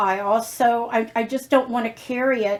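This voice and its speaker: A woman speaks with an unremarkable speaking voice at a fairly high pitch. Her intonation stays fairly even. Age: 60s. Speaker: lifestyle vlogger. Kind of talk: casual chat.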